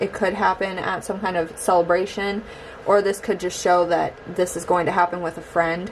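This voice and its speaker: Behind the woman there is noticeable background noise. She talks at a moderate pace with a medium pitch and fairly even intonation. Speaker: tarot reader. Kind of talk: tarot reading to camera. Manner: hesitant, many fillers.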